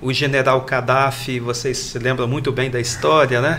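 The man speaks at medium pitch and a moderate pace. Audible room echo and noticeable background noise surround his voice. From Brazil, Minas Gerais (Triângulo Mineiro). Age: 50s. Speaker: pastor and missionary. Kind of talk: panel discussion.

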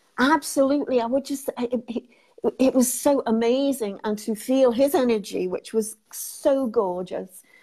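A woman speaks at a fairly slow pace in a high voice with a dark, mellow tone and ordinary pitch variation. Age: 60s. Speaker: guest sharing her life and business story. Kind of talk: interview conversation. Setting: video call.

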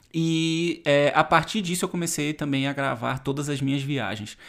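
Against a silent background, a man is heard on a very clean recording. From Brazil. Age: 30s. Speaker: travel youtuber and podcast host. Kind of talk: solo podcast monologue.

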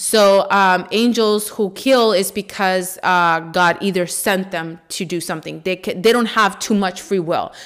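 Speaking at a fairly slow pace with hardly any pauses, a woman with a non-native accent uses a medium pitch and fairly even intonation. The recording is very clean, with a silent background. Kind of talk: religious talk, monologue podcast.

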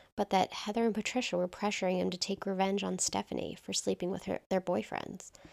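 In a very clean recording with a silent background, a woman of medium pitch uses an ordinary speaking voice at a fairly quick pace, the sound dry and close with no echo. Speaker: true crime podcast co-host. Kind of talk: casual, conversational narration.

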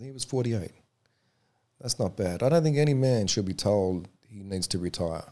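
A man's fairly low, dark and mellow voice in an Australian accent, at a moderate pace with lively intonation and big swings in loudness, on a very clean recording with a silent background. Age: 40s. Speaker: mixed martial arts referee. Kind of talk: interview.

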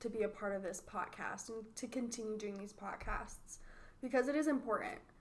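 This woman has a normal speaking voice. Her pitch is fairly high, with ordinary pitch variation. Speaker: marketing podcast host. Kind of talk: casual chat.

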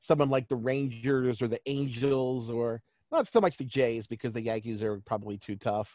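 A man speaks in an ordinary speaking voice, medium in pitch, with ordinary pitch variation and a fairly quick pace. The sound is dry and close with no echo, over a quiet background. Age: 40s. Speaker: baseball stats writer. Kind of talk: interview.

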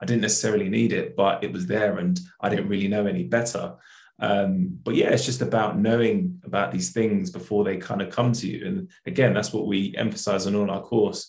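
A man with a South London accent talks at a fairly quick pace, his fairly low voice showing vocal fry and ordinary pitch variation. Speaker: accountant and charity co-founder. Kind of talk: casual interview.

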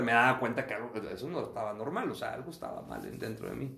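With vocal fry and a bright, sharp tone, a man talks at a fairly quick pace amid audible room echo. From northern Mexico, Acuña, Coahuila. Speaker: physician. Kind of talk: interview testimony. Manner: halting, frequent repetitions.

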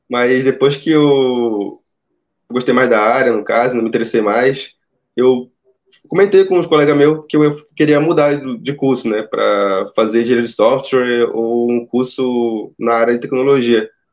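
A man with a normal speaking voice talks at a fairly slow pace, his medium pitch varying in an ordinary way. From Amazonas, Brazil. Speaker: engineering student turned junior programmer. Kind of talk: interview. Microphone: phone used for audio.

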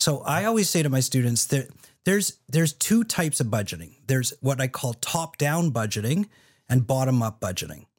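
In a very clean recording with a silent background, a man with a medium, somewhat breathy voice talks at a fairly quick pace through very wide pitch swings. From Canada. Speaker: film producer. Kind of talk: podcast interview.

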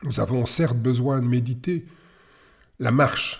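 Somewhat breathy and medium in pitch, a man's voice moves with ordinary pitch variation. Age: 60s. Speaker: tai chi teacher. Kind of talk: podcast monologue. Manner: hesitant with fillers.

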